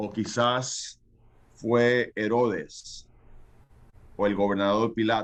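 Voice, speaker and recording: A man at a medium pitch, very slow pace, long and frequent pauses, and monotone, flat intonation. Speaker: pastor. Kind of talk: sermon. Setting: video call. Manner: halting, many fillers.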